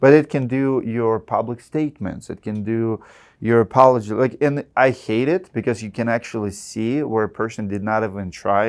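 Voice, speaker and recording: A man with a Russian accent at a medium pitch, fairly quick and fairly even in intonation, against a quiet background. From Russia (Siberia). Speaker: roofing contractor. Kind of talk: podcast interview. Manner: halting.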